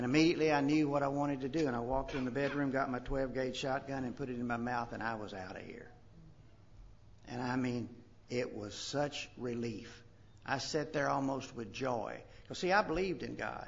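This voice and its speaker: A fairly quick delivery in a Kentucky accent, with audible room echo. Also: man, medium pitch for a man, ordinary pitch variation. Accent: Southern US (Kentucky). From US South, western Kentucky. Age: 60s. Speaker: recovery speaker, retired doctor. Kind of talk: recovery testimony.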